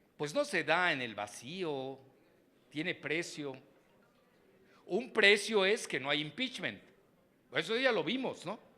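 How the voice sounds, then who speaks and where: A man's voice swings very widely in pitch, bright and sharp in tone with vocal fry. The recording is very clean, the background silent. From Mexico. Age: 70s. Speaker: geopolitics analyst and professor. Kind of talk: keynote lecture.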